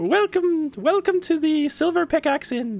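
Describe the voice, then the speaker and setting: A man's put-on character voice, extremely high in pitch, at a moderate pace over faint music in the background. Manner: polite, welcoming.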